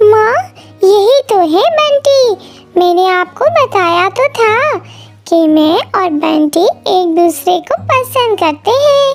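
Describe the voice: A woman does a squeaky, cartoonish character voice in an extremely high pitch at a very slow pace, with faint music in the background.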